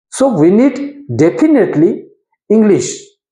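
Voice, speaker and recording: Someone with a Goan accent speaks at a very slow pace. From India, Konkani-speaking region. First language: Konkani. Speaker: English learner and video creator. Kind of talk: informal educational talk to camera. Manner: halting, with fillers and self-corrections.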